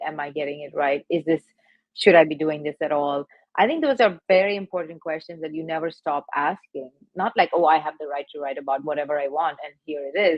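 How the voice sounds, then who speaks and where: The delivery moves at a fairly quick pace with fairly even intonation. Loudness swings widely throughout. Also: woman. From India (Madras). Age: 40s. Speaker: poet and dancer. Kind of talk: panel conversation.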